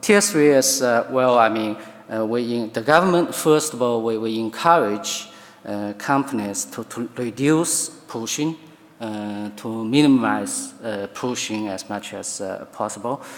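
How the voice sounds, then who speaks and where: A man with a Chinese accent speaks at a fairly slow pace in a medium pitch with ordinary variation and big swings in loudness, with noticeable background noise and audible room echo. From China. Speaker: law professor. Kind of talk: conference talk. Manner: halting, many fillers.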